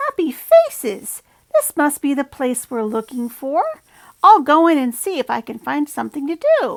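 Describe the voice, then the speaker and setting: Putting on a character voice, a woman speaks high at a moderate pace. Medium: read story. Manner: clucking, squawky.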